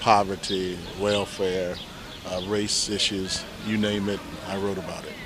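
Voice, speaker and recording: Over noticeable background noise and audible room echo, a man speaks at a fairly low pitch and a fairly slow pace, his intonation monotone and flat, with long, frequent pauses. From Ohio small town. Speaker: university professor and pastor. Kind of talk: casual street interview. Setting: outdoors on a bench in a city square. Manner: halting, many fillers.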